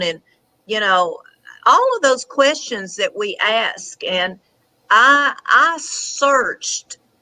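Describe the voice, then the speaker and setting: In an American accent, a woman speaks at a very slow pace. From Tennessee. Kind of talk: interview answer.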